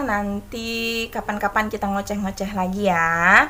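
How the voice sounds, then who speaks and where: The woman's tone is bright and sharp. She speaks at a fairly slow pace. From Indonesia, Manado then Kalimantan. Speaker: vlogger and kindergarten teacher. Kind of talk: casual chat vlog. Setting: at home folding laundry.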